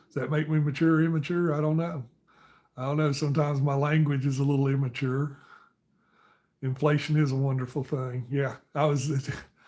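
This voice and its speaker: A man talks at a fairly quick pace in a dark, mellow, somewhat breathy voice with flat, monotone intonation. The recording is very clean, with a silent background. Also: fairly high pitch for a man. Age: 50s. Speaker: live streamer. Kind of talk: casual chat.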